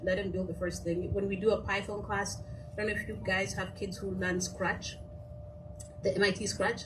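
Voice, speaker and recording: A woman with a Kenyan accent talks at a moderate pace amid noticeable background noise and audible room echo. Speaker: nonprofit founder, coding teacher for kids. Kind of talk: panel discussion.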